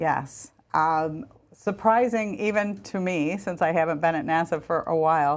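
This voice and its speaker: A woman with a normal speaking voice, fairly low-pitched for a woman, against a quiet background. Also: lively intonation, moderate pace. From US Midwest, Michigan. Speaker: former space agency official and author. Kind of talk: TV interview.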